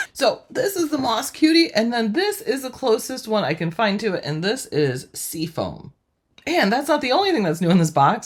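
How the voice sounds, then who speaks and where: Using vocal fry and an animated tone, a woman moves at a moderate pace through very wide pitch swings. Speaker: crafting YouTuber. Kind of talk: product unboxing tutorial. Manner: chatty, animated.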